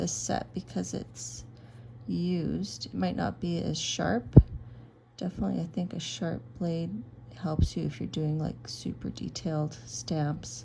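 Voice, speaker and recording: A soft-spoken woman talks at a fairly slow pace. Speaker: craft video creator. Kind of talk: tutorial.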